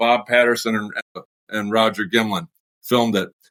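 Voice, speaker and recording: A man speaks with an American accent. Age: 50s. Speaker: mushroom grower and small business owner. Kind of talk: casual interview chat.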